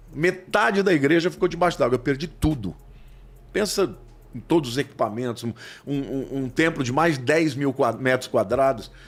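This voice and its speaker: A plain, everyday voice from a man, fairly high in pitch, at a moderate pace. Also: lively intonation. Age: 60s. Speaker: pastor. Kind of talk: podcast interview.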